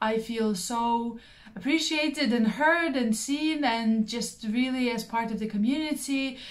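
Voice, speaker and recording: The speech has a Russian accent and a fairly slow pace. Pitch variation is ordinary. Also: woman, fairly high pitch for a woman. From Belarus. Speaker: craft YouTuber. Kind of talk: casual vlog monologue. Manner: frequent filler words (um, uh).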